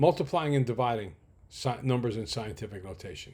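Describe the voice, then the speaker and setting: A man's somewhat breathy voice at a moderate pace, on a very clean recording with a silent background. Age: 60s. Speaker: math instructor. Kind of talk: lecture.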